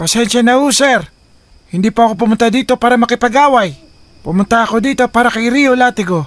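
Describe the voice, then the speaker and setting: A man puts on a cartoonish character voice at an extremely high pitch, talking at a fairly quick pace. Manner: earnest, plain-spoken.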